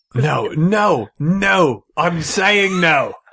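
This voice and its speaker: A man puts on a raspy character voice. It is pitched high. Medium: actual play. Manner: stern, exasperated.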